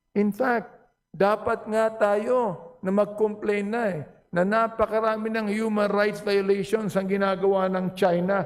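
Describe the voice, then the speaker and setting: Loud and at a fairly slow pace, a man speaks with a high pitch. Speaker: legislator. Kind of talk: parliamentary speech. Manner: animated.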